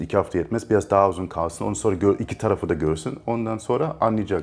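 With a slight German accent, the speaker goes at a very fast pace with hardly any pauses and ordinary pitch variation. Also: man. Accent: slight German-Turkish. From Germany, Munich. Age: 30s. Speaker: actor and producer, animal rights activist. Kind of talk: interview conversation.

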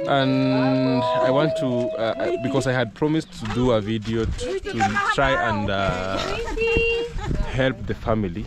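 Loud background noise sits behind a man speaking at a fairly slow pace. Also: dry sound with no echo. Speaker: vlogger. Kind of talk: casual vlog chat. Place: open country. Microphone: phone near.

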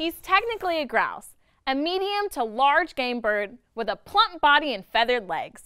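Raised and projected, a woman's voice has a bright, sharp tone and an upbeat, playful tone, moving at a moderate pace through very wide pitch swings. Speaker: educational video host. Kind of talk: nature documentary narration. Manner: upbeat, bright, child-friendly and playful; clear, enthusiastic, with a teacherly tone.

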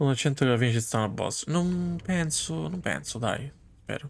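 A man speaks at a medium pitch and a moderate pace. His intonation is lively, with vocal fry.

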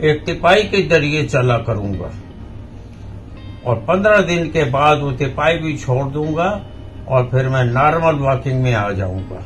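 Faint music plays in the background as a man speaks at a very slow pace with very wide pitch swings. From India, Madhya Pradesh (Jabalpur); Madhya Pradesh, India. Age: 70s. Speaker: patient. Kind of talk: testimonial. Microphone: phone near.

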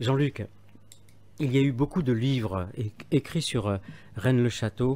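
Over a very clean recording with a silent background, a man speaks at a fairly slow pace with medium pitch, a dark, mellow tone, ordinary pitch variation and very even loudness. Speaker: radio interviewer. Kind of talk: radio interview. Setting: radio studio.

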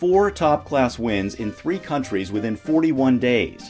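Music plays in the background as a man talks at a moderate pace. His pitch is medium. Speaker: narrator. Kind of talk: documentary narration.

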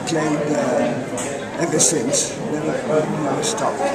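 Loud background noise fills the recording. A man speaks at a very slow pace. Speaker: veteran tennis player. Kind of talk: interview answer. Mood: cheerful, relaxed. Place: hall. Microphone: phone near.

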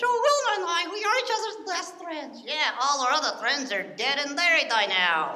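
A man's put-on character voice at a moderate pace. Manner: grumpy, sarcastic.

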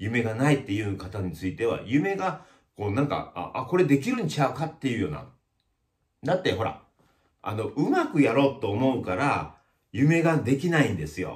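Against a quiet background, a man with vocal fry speaks at a moderate pace with very wide pitch swings. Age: 50s. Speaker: YouTuber, village chief of lifestyle community; channel host. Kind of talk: casual vlog monologue. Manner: many hesitation fillers. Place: shop.

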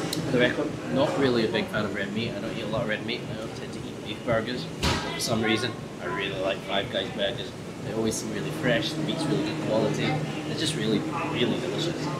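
Loud background noise surrounds a man talking at a very fast pace. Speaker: food reviewer. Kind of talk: casual vlog chat. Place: cafe. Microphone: phone near.

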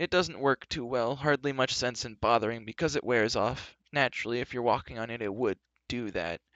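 Quiet surroundings behind a natural reading voice

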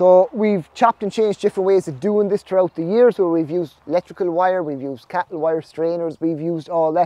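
A man in an Irish accent, high-pitched and very fast, with hardly any pauses, ordinary pitch variation and a dry sound with no echo. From Ireland. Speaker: snail farmer. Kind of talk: vlog narration. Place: farm machine. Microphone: phone near.

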